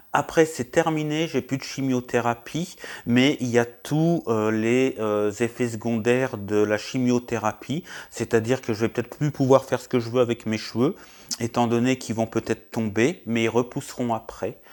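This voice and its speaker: At a moderate pace, a man of medium pitch speaks with fairly even intonation on a very clean recording with a silent background. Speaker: YouTuber vlogger. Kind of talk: personal health update vlog. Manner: loud; hesitant, many fillers. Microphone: new wireless mic.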